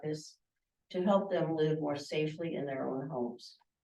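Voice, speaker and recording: In a room with audible echo, a woman speaks with a dark, mellow tone. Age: 70s. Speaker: nurse. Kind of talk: public comment at meeting. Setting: village board meeting.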